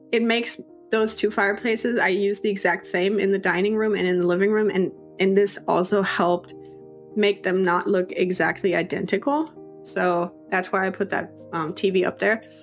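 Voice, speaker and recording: A woman's medium-pitched voice at a moderate pace, fairly even in intonation, with music in the background. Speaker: Sims builder, YouTuber. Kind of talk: casual voiceover commentary.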